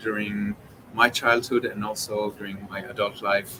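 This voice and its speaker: There is noticeable background noise behind this speaker. A man talks at a fairly slow pace in a fairly low pitch. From Israel, Jerusalem. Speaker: orchestra conductor. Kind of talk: interview. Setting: live stream. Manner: hesitant, many fillers.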